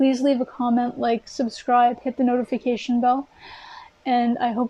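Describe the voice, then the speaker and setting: Dry and close with no echo, this woman's high voice has a dark, mellow tone, monotone, flat intonation and very even loudness at a fairly quick pace. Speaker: tarot reader. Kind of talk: tarot reading monologue. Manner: earnest, encouraging.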